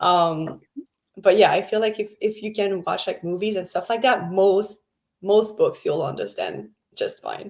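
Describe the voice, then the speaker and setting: The speaker talks in a French Canadian accent. The pace is fairly slow. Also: woman. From Quebec, French Canada. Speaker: book club co-host. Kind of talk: casual chat.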